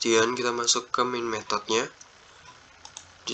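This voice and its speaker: Monotone, flat intonation from a man at a medium pitch and a fairly quick pace, amid noticeable background noise. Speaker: student presenter. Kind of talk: tutorial. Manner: halting.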